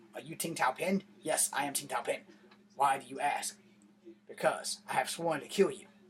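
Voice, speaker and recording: The put-on character voice moves with ordinary pitch variation and big swings in loudness. Long pauses come often. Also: man, fairly high pitch for a man, moderate pace. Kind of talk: stiff, formulaic movie dialogue. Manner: stilted, overdramatic, threatening.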